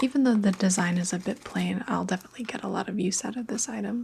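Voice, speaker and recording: The voice is soft-spoken. Noticeable background noise can be heard. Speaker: ASMR creator. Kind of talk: ASMR unboxing.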